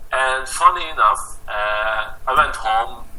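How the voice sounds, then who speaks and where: A man speaks with a Hungarian accent. Background noise is noticeable. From Hungary, rural village. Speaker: photographer. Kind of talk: interview. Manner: halting.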